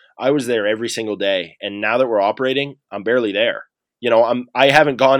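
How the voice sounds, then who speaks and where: Against a quiet background, a man with a Maritime Canadian accent speaks fairly quickly with fairly even intonation. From rural New Brunswick, Canada. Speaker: entrepreneur, former hockey player. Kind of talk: interview. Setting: office.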